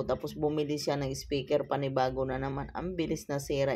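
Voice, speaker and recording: The tone here is dark and mellow. She, a woman, keeps to a moderate pace. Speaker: vlogger. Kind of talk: voice-over narration. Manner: casual, conversational.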